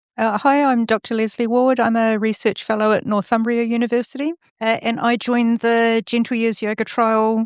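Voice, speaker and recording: In a New Zealand accent, a woman speaks at a moderate pace with hardly any pauses, using a fairly high pitch, monotone, flat intonation and very even loudness, on a very clean recording with a silent background. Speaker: research fellow and yoga teacher. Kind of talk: podcast interview. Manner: hesitant, with frequent fillers.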